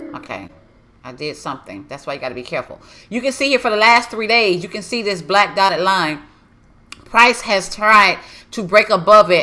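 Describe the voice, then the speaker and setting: A woman's animated, bright, sharp voice with vocal fry and big swings in loudness, in a very clean recording against a silent background. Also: medium pitch for a woman, lively intonation, moderate pace. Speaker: forex trading educator. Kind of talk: live trading tutorial.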